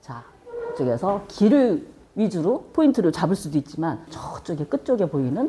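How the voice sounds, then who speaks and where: There is noticeable background noise as a woman talks at a moderate pace. Her pitch swings very widely. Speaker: video production instructor. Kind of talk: lecture.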